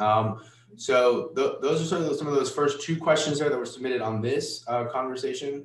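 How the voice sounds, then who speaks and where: A man talks against noticeable background noise. The room echo is audible. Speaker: cybersecurity company founder, former government hacker. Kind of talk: virtual conference talk with Q&A. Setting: virtual conference. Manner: fast; halting, many fillers.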